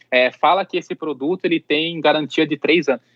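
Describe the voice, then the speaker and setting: At a moderate pace, a man with a normal speaking voice and fairly high pitch is heard in a dry, close sound with no echo. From Campinas region, São Paulo interior, Brazil. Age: 30s. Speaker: pet influencer and content creator. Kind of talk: interview conversation.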